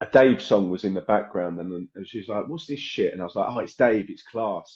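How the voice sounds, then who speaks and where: A man with an English accent, fairly low-pitched and fairly quick, animated in tone, with big swings in loudness and ordinary pitch variation. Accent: English accent that stands out in Ireland. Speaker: podcast host and musician. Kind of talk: casual interview chat.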